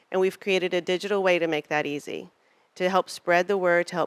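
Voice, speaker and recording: With an Arkansas accent, a woman of fairly low pitch speaks at a fairly quick pace in a very clean recording with a silent background and a dry, close sound with no echo. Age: old. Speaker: political fundraising consultant. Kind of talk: panel presentation. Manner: animated.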